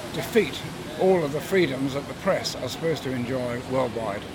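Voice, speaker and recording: Speaking with an English accent, a man has a fairly high pitch, ordinary pitch variation, and a moderate pace, with noticeable background noise. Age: 80s+. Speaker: protester. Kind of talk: interview. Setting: outdoors at a rally.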